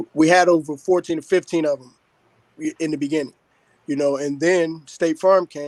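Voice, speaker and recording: A man with an American accent, fairly high-pitched, at a moderate pace in a monotone, flat delivery, with a dry, close sound and no echo. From Chicago, South Side housing projects. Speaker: community activist and former rapper. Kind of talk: interview conversation.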